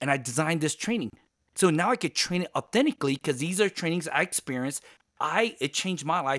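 A man talks in an animated tone at a high pitch and fairly quick pace, with lively intonation. The sound is dry and close with no echo. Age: 50s. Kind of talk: interview. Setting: video call. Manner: loud.

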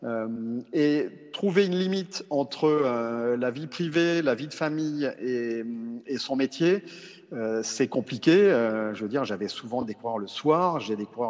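With lively intonation, a man of medium pitch speaks at a fairly slow pace. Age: 40s. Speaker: cycling coach. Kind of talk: interview. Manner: halting, many repetitions and fillers.

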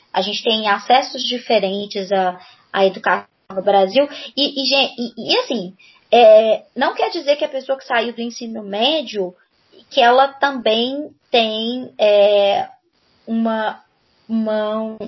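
A woman with a fairly high pitch speaks at a very slow pace, with long, frequent pauses. Her loudness swings widely while her pitch varies in an ordinary way. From Belo Horizonte, Minas Gerais, Brazil. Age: 30s. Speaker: Portuguese teacher and content creator. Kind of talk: casual interview chat.

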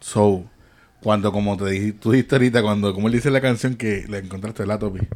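This man's pitch is fairly low, with fairly even intonation. He has an unremarkable speaking voice and moves at a fairly quick pace. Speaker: podcast host. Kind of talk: casual chat.

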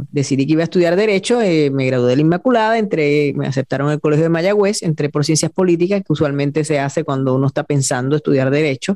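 Speaking at a very fast pace with hardly any pauses, a woman with a very deep, low pitch keeps her loudness very even and her pitch variation ordinary, in a dry, close sound with no echo. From Puerto Rico, Añasco (western island). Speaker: TV news journalist. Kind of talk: interview conversation.

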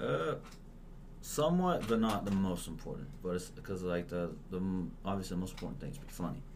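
The speech has lively intonation and a fairly quick pace, broken by long, frequent pauses. Audible room echo surrounds it. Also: man, very deep, low pitch for a man. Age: 20s. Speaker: stand-up comedian. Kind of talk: casual chat.

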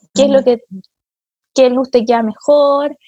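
A woman with a Chilean accent speaks in a high voice. The sound is dry and close with no echo. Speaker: podcast host. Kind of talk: casual chat.

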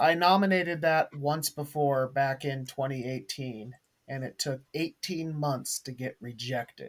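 An unremarkable speaking voice with an American accent. The pace is fairly slow and the pitch variation ordinary. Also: man, fairly high pitch for a man. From US Pacific Northwest. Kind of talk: casual group discussion.

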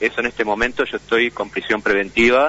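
A man's normal speaking voice at medium pitch, fairly quick in pace, with fairly even intonation. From Uruguay, Montevideo. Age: 40s. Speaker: imprisoned computer engineer, hacker. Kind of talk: interview. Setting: phone call.

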